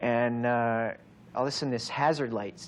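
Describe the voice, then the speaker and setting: A man speaks with a General American accent. His pitch is medium. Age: 20s. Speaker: actor. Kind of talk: interview answer. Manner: fast, animated, excited.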